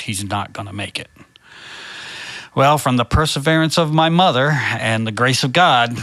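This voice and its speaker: A man at a moderate pace with ordinary pitch variation, plus noticeable background noise. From Maine, US. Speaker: guest telling his life story. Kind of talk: testimony.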